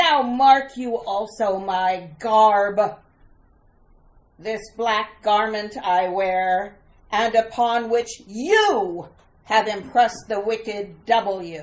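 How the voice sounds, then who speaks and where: Put on as a character, a female-sounding voice speaks very slowly at a fairly high pitch. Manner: menacing, theatrical.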